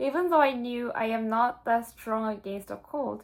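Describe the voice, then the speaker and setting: Fairly high in pitch, a woman with a Korean accent speaks with lively intonation on a very clean recording over a silent background. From South Korea. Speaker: exchange student vlogger. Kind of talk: casual vlog monologue.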